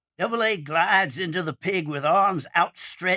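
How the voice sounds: What you hear is a natural reading voice.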